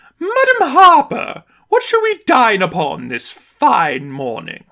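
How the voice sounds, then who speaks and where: A man puts on a character voice with a British accent, speaking in a raised, projected voice. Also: fairly slow pace. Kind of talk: posh, polite.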